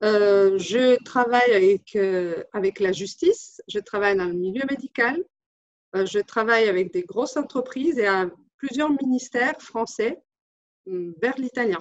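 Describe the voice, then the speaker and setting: With lively intonation and a fairly high pitch, a woman speaks at a fairly slow pace in a dry, close sound with no echo. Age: 40s. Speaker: translator and interpreter, business owner. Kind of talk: testimonial. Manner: halting, many hesitations.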